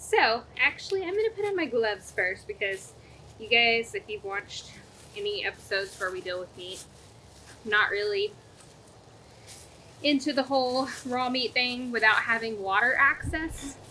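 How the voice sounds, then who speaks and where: A woman with a high voice speaks at a moderate pace over noticeable background noise, her pitch swinging very widely between long, frequent pauses. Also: big swings in loudness. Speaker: cooking show co-host. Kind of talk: casual cooking demonstration.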